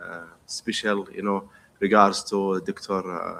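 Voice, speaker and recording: A man with an Arabic accent speaks fairly slowly, his pitch fairly low and his tone bright and sharp. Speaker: pharmacy professor and dean. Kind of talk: presentation. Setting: conference stage.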